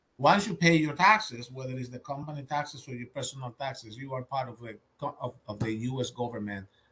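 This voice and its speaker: The speaker has a Dominican accent and talks at a fairly quick pace with lively intonation. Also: man. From Dominican Republic. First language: Spanish. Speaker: government contracting audit expert. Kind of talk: webinar presentation. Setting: virtual webinar.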